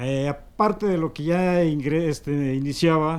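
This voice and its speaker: The man has a high voice and fairly even intonation. He talks at a very slow pace. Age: 60s. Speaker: religious procession participant. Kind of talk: interview.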